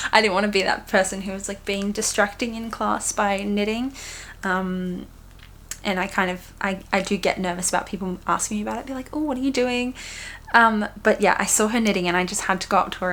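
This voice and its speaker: A woman is speaking at a fairly quick pace. Her pitch is medium. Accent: Australian. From Australia. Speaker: knitting podcaster. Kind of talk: casual chat. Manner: animated.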